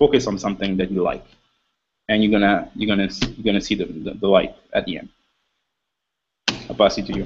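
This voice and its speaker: The delivery runs at a very fast pace. Long, frequent pauses break it up. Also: man. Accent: Quebec. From Quebec, Montreal. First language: French. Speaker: panelist on motivational web show. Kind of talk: panel discussion. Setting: video call. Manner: halting.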